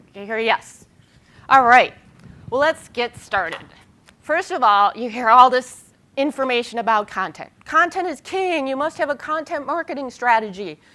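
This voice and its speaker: The voice is raised and projected, with very wide pitch swings. Its loudness swings in a big way too. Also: woman, high pitch for a woman. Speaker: public relations consultant and conference speaker. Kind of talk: conference presentation. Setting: stage with audience. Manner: fast; animated.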